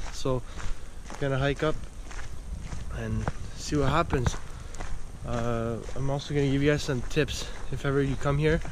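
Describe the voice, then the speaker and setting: A man speaks with noticeable background noise behind him. The sound is dry, with no echo. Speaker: hiking vlogger. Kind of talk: casual vlog chat. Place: forest. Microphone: phone near.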